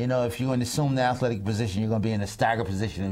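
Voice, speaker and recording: Audible room echo fills the recording. A man speaks at medium pitch with an American accent. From New York, Harlem. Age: 60s. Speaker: former pro basketball player and coach. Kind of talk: TV interview. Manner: halting.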